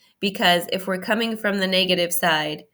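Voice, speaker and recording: With a bright, sharp, animated tone, a woman speaks at a fairly quick pace on a very clean recording with a silent background. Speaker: math teacher. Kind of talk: recorded lesson. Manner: casual, animated.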